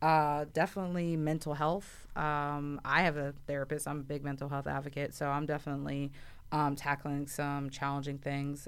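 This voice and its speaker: At a moderate pace and with hardly any pauses, a woman with an American accent talks in a monotone, flat intonation at a very deep, low pitch. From Philadelphia, US. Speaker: podcast co-host. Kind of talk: casual chat. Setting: studio.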